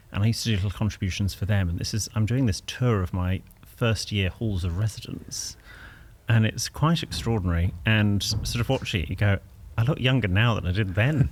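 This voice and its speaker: A man speaks at a fairly quick pace in a fairly low, somewhat breathy voice with ordinary pitch variation. The recording is very clean, with a silent background. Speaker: etiquette expert. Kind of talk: casual interview. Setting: backstage studio at a festival.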